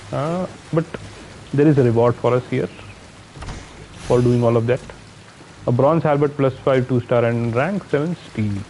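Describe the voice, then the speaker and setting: A man with a strong Indian accent speaks at a moderate pace and a medium pitch, with ordinary pitch variation. He takes long, frequent pauses, and noticeable background noise is present. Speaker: gaming streamer. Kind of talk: live gameplay commentary. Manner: casual, thinking aloud.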